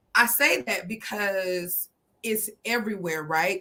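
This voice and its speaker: Bright and sharp in tone, a woman talks with an American accent. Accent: sounds less local to Georgians, code switches. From South Georgia, US (Fitzgerald). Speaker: guest. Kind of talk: casual chat.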